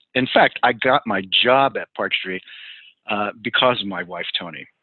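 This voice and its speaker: A man with an American accent, a normal speaking voice, lively intonation and a moderate pace. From New York, New Jersey and Western Pennsylvania. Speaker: pastor. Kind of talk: interview.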